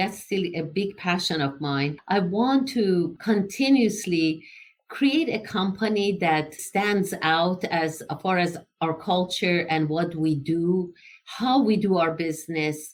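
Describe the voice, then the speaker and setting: A woman with an Iranian accent speaks very slowly at medium pitch. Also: ordinary pitch variation. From Iran, Tehran. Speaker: engineering entrepreneur. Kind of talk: interview.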